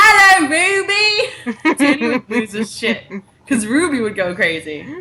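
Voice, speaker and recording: A woman's animated tone, full of very wide pitch swings, rises over noticeable background noise. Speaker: web show co-host. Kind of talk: casual chat.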